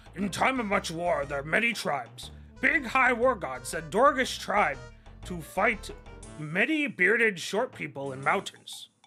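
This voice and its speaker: A man's put-on character voice, gruff, high-pitched and raised and projected, at a moderate pace over clear music in the background. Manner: broken, primitive grammar.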